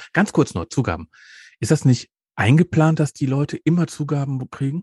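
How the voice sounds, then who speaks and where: With a fairly high pitch and a somewhat breathy quality, a man talks at a fairly quick pace with lively intonation, recorded dry and close with no echo against a quiet background. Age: 50s. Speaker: podcast host. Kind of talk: casual chat.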